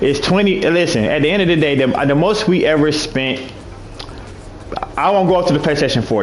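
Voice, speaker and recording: Lively intonation over noticeable background noise, with audible room echo. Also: man. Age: 30s. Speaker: online gaming league commissioner. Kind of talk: livestream monologue. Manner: halting.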